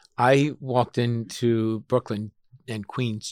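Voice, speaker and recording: A man talks in a normal speaking voice at a medium pitch with fairly even intonation. The sound is dry and close, with no echo. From Long Island, New York (Suffolk County). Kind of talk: interview conversation. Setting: studio.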